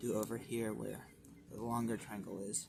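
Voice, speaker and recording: With audible room echo, a man speaks at a moderate pace in a medium pitch. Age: young. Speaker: origami tutorial maker. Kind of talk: tutorial. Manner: casual.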